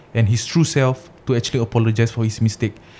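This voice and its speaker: A man's medium-pitched voice has a dark, mellow tone and a monotone, flat intonation. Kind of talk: casual banter podcast chat. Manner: joking, playful.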